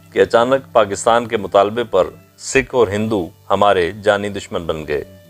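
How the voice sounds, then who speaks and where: A fairly low-pitched male voice with ordinary pitch variation, music in the background. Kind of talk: documentary narration.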